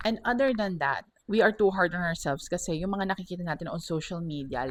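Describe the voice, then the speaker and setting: Lively intonation stands out on a very clean recording with a silent background. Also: woman. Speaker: podcast host and radio host. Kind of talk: personal reflection monologue.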